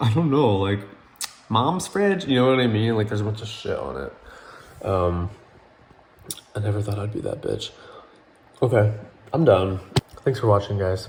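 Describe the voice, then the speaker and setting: A man mumbles at a fairly low pitch with lively intonation and long, frequent pauses. Audible room echo and noticeable background noise fill the recording. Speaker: YouTuber. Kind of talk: casual mukbang vlog. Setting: at home, late night. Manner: mumbling; fast.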